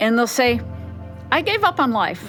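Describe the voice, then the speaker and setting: Over music in the background, a woman with a fairly high pitch talks at a fairly quick pace. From New Mexico. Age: 60s. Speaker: music student. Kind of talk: interview.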